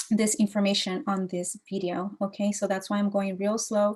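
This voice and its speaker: A woman speaks at a medium pitch with monotone, flat intonation. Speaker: green building consultant. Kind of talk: tutorial. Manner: halting; slow.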